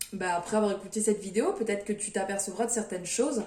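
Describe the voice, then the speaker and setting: Flat, monotone speech from a woman, with audible room echo and noticeable background noise. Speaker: tarot card reader. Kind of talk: tarot reading video. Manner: hesitant, many fillers.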